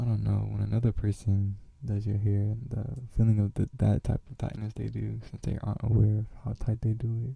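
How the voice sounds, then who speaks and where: A man whispers in a soft-spoken way at a moderate pace. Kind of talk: asmr casual talk. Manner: whispered, soft-spoken.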